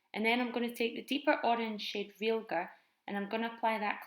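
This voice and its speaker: A fairly quick woman's voice with a Scottish accent, fairly high in pitch, with fairly even intonation. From Edinburgh, Scotland. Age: 20s. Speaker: makeup vlogger. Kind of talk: makeup tutorial voiceover.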